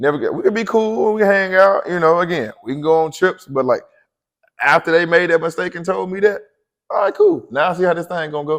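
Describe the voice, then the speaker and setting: Loud and very fast, a man speaks at a high pitch with ordinary pitch variation. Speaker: podcast co-host. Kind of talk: casual chat.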